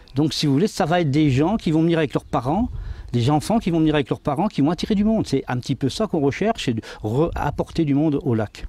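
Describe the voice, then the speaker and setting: Dry and close with no echo, a man's dark, mellow voice runs at a very fast pace, fairly high in pitch with lively intonation and very even loudness. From France, Aube (Dienville). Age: 60s. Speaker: mayor. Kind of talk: TV interview. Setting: outdoors by a lake harbour. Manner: halting, many hesitations.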